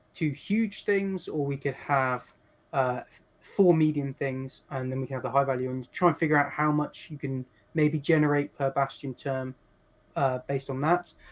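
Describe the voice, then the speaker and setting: A man with an English accent has a fairly high pitch and ordinary pitch variation. His pace is moderate. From England. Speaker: game designer and palaeontologist. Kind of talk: interview.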